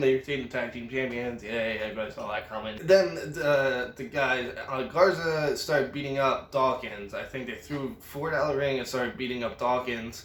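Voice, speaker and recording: Over noticeable background noise, a man speaks at a moderate pace and medium pitch. He has ordinary pitch variation and hardly any pauses. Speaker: wrestling reviewer. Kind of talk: casual recap.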